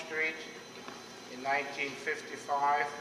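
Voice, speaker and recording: Speaking with a German accent at a moderate pace, a man in a fairly high pitch keeps a monotone, flat intonation, with audible room echo and noticeable background noise. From West Germany. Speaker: German immigrant, Navy veteran. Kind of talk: Q&A talk at club meeting.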